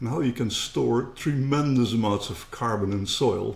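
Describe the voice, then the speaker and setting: Speaking at a moderate pace with a Dutch accent, a man shows vocal fry and ordinary pitch variation. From Netherlands. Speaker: company co-founder. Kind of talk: interview.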